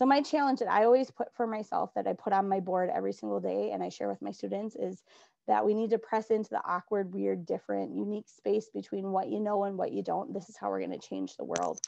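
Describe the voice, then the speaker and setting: Speech in a strong Minnesota accent comes at a very fast pace with hardly any pauses. The background is quiet. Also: woman. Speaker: adapted physical education teacher. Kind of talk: conference presentation. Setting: virtual conference recording.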